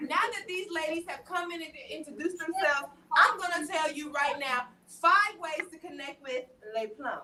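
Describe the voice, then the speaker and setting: With a Southern US accent and an animated tone, a woman raises and projects her extremely high-pitched voice at a moderate pace, with ordinary pitch variation and big swings in loudness. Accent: Southern country twang. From US South, Atlanta. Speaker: live show host. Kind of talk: livestream panel chat.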